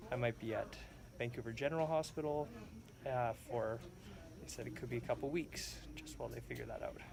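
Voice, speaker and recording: Over music in the background, a man talks at a fairly quick pace with long, frequent pauses. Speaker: vlogger with chronic illness. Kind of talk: personal video diary. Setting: hospital room. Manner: quiet, subdued.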